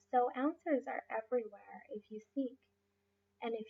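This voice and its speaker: At a fairly slow pace, a woman speaks. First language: Spanish. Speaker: life coach and massage therapist. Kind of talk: motivational talk. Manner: halting, many fillers.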